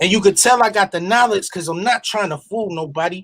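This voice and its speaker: A man with ordinary pitch variation. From Buffalo, New York. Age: 40s. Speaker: rapper. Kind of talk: casual chat.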